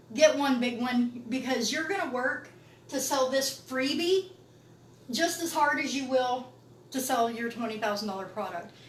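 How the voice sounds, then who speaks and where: This woman's voice sits high, with ordinary pitch variation, at a moderate pace. Audible echo from the room surrounds her. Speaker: business coach. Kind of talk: online training session. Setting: live video session with teleprompter and camera.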